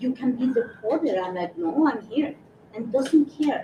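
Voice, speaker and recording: A woman with a high voice speaks at a fairly slow pace amid noticeable background noise. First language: Spanish. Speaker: community member, panelist. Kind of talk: panel discussion. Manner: halting.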